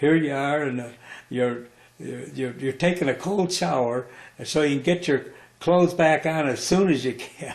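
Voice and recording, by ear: A man's medium-pitched voice with an American accent, vocal fry, ordinary pitch variation and a moderate pace, in audible room echo.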